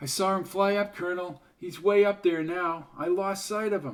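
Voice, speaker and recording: A man's high-pitched, put-on character voice with fairly even intonation. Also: moderate pace. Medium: read story.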